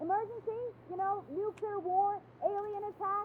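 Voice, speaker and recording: Squeaky and extremely high-pitched, a woman's put-on character voice moves at a moderate pace with monotone, flat intonation over clear background noise. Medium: video game.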